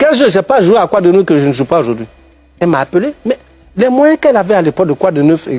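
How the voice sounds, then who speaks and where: This man speaks very fast at a high pitch with very wide pitch swings. The sound is dry and close with no echo, with music in the background. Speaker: actor. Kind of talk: TV talk show interview. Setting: TV studio. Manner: animated.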